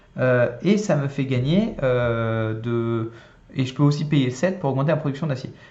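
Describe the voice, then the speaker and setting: A man speaks at a fairly high pitch. Audible room echo is present. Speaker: board game youtuber. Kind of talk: solo gameplay tutorial. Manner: casual, hesitant with many euh.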